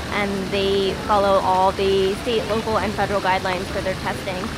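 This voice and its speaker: Loud background noise runs beneath this woman's voice. The recording sounds dry and has no echo. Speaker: travel vlogger. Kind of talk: casual vlog chat. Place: street. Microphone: phone near.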